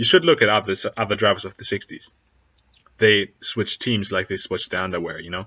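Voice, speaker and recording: This man has a non-native accent and a fairly low pitch. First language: not English. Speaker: YouTuber, F1 commentator. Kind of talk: casual video commentary.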